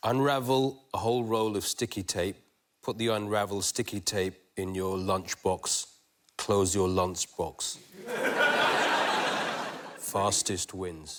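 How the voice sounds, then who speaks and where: A man puts on a gravelly character voice, pitched fairly low and delivered at a fairly slow pace. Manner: gravelly, dramatic, epic.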